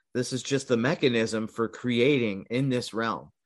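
Here a man with an American accent speaks at a medium pitch and a moderate pace, in an ordinary speaking voice. The background is quiet. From California. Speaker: podcast host, alternative history researcher. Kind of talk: casual interview chat.

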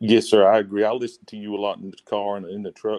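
Recorded dry and close with no echo, a man talks at a very fast pace in a dark, mellow tone and a fairly low pitch. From US South, Alabama. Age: 40s. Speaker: caller. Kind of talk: casual chat.

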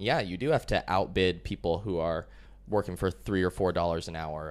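With an American accent and vocal fry, a man speaks at a moderate pace. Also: very clean recording, silent background. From US, Colorado. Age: 20s. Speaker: business owner and digital nomad. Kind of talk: casual interview.

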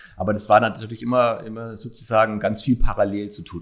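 Fairly quick and monotone, a man talks with flat intonation at a fairly low pitch. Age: 40s. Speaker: hospital executive and marathon runner. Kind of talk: interview.

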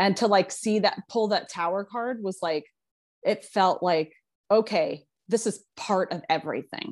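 A woman's medium-pitched voice, fairly slow, with ordinary pitch variation, over a quiet background. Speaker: podcast co-host. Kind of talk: casual chat. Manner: gentle.

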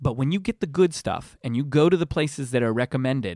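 The man's voice sits fairly high, with lively intonation. The recording is very clean with a silent background, and the sound is dry and close with no echo. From US, military family moving around; teen years near Tampa, Florida. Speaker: pizza blogger. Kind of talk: casual chat.

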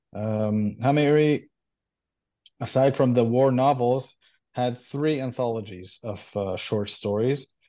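A man's dark, mellow voice with an Israeli accent, very slow, with ordinary pitch variation and a quiet background. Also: medium pitch for a man. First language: Hebrew. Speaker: doctoral student. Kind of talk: interview. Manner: halting.

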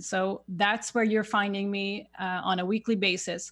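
A woman with a Swedish accent, medium pitch and fairly even intonation. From Sweden. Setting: video call.

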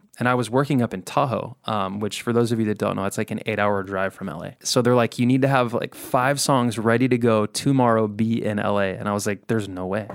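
A man with a normal speaking voice and an American accent talks fairly quickly at a medium pitch with fairly even intonation, on a very clean recording with a silent background. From Southern California. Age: 30s. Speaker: country music singer. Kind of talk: casual chat. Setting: studio.

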